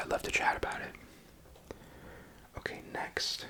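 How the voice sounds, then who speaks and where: Whispering at a fairly quick pace in a tired tone, the speaker is heard over noticeable background noise. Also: man. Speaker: ASMR creator and parent. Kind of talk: ASMR whispered ramble to camera. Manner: soft-spoken, rambling, tired.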